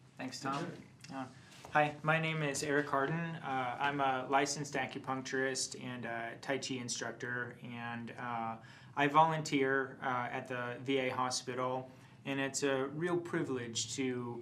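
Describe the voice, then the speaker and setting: Amid noticeable background noise and audible room echo, a man speaks at a medium pitch and a fairly slow pace in a monotone, flat intonation. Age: 30s. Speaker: acupuncturist and tai chi instructor. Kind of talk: personal introduction.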